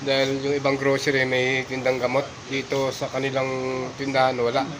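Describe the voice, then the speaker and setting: A man at medium pitch and moderate pace, with noticeable background noise. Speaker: vlogger, overseas worker. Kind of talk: casual vlog narration.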